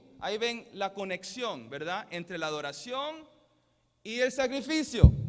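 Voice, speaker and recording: Speaking at a fairly slow pace, a man uses a high pitch with very wide swings. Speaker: pastor. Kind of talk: sermon. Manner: halting, with self-corrections.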